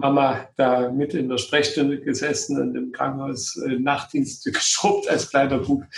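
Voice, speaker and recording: A man talks at a fairly slow pace. There is noticeable background noise. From Saxony and Thuringia, eastern Germany. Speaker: gynecologist and obstetrician. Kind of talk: interview.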